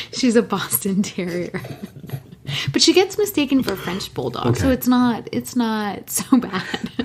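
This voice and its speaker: A woman speaks with very wide pitch swings. Noticeable background noise sits behind her. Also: fairly high pitch for a woman. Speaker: podcast co-host. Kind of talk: casual conversation, relaxed podcast talk. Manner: calm, unhurried.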